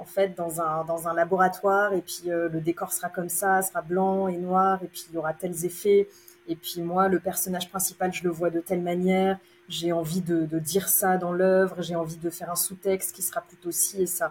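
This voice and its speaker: A woman speaks at a fairly low pitch. Her intonation stays flat and monotone. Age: 30s. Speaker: opera stage manager. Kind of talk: interview.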